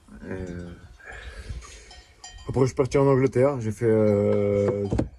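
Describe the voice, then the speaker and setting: Ordinary pitch variation against noticeable background noise. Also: man. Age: 20s. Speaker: shepherd. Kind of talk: interview. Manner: halting.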